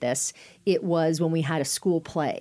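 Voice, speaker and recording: A woman with a Californian accent and a dark, mellow tone speaks at a fairly quick pace with ordinary pitch variation. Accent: General American (Californian). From Northern California (Sacramento). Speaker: communications coach and former TV journalist. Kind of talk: interview conversation.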